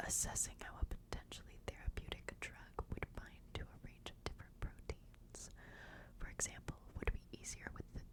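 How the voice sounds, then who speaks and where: A woman is whispering. Noticeable background noise can be heard behind her. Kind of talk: whispered ASMR book reading for sleep. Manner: whispered, soft, slow.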